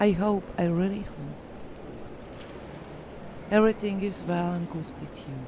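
Fairly slow speech with long, frequent pauses shows big swings in loudness and fairly even intonation over noticeable background noise. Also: woman, medium pitch for a woman. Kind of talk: emotional spoken story.

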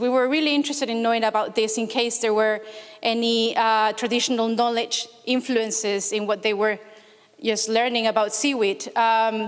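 In a Spanish accent, a woman speaks at a moderate pace with a fairly high pitch, fairly even intonation and very even loudness against a quiet background. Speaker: researcher; conference presenter. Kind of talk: conference talk. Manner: hesitant, many fillers. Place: hall.

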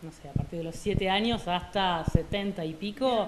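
Noticeable background noise sits behind this recording. A woman with an Argentine accent speaks at a fairly slow pace. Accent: Argentine Spanish (Rioplatense). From Argentina. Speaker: French teacher. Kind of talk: interview. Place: classroom. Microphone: handheld.

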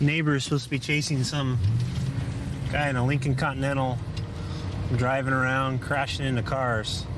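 A man talks at a fairly quick pace but with long, frequent pauses. The sound is dry with no echo, and there is noticeable background noise. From moved around, military family; born in Oklahoma, settled in Washington State. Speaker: police officer. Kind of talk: interview to camera and on-duty talk. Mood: calm, relaxed. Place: car.

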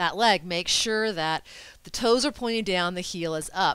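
A woman speaks at a moderate pace with a bright, sharp tone. The sound is dry, with no echo. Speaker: yoga instructor. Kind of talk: tutorial. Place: home room. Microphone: headset.

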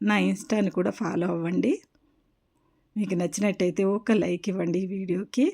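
The voice has a dark, mellow tone with vocal fry and fairly even intonation. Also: woman, medium pitch for a woman. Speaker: vlogger. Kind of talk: devotional tutorial vlog. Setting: home puja room.

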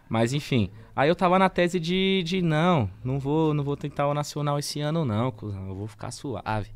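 A man talks at a moderate pace with lively intonation and a fairly high pitch. He hardly pauses at all. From São Paulo, Brazil. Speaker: freestyle battle rapper; podcast guest, battle rap MC. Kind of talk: casual chat. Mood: relaxed, laughing at times. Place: studio. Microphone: studio mic.

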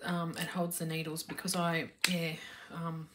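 The speaker is a woman with a somewhat breathy voice. She talks at a fairly low pitch. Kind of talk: casual vlog chat. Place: home room. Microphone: phone near.

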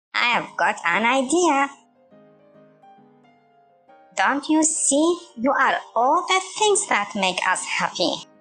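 Using a put-on character voice, a woman speaks slowly in a high pitch with big pitch swings, a bright, sharp tone and long, frequent pauses, while faint music plays in the background.

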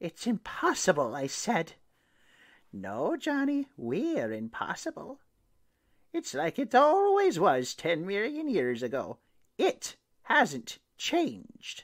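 Someone in a put-on character voice speaks at a fairly slow pace. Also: man, high pitch for a man, dry, close sound with no echo. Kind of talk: short story reading. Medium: read story.

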